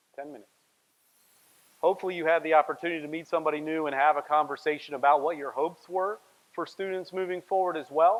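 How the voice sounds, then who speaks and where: Rushing at a very fast pace, a man with a fairly high pitch keeps fairly even intonation while his loudness swings widely. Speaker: workshop facilitator. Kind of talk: workshop presentation.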